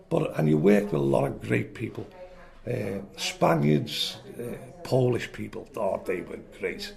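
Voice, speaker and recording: A man talks at a fairly slow pace with a Liverpool accent. There is noticeable background noise. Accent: Scouse. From Liverpool, England. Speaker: retired electrician telling life story. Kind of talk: oral history interview. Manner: animated.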